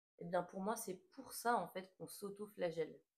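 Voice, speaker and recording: Her voice sits at a medium pitch with ordinary pitch variation and vocal fry as this woman speaks. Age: 20s. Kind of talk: casual talk to camera. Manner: hesitant, many filler sounds.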